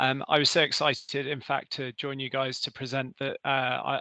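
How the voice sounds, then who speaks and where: A man with a British accent, fairly high pitch, a bright, sharp tone and a moderate pace, in a dry, close sound with no echo and a quiet background. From Britain. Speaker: energy company representative. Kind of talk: presentation.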